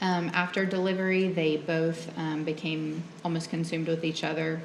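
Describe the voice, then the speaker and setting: Over noticeable background noise and audible room echo, a woman speaks quietly at a moderate pace, her fairly low voice monotone and flat. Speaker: nurse, trial witness. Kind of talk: testimony. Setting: courtroom. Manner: quiet, hard to hear; hesitant, many ums.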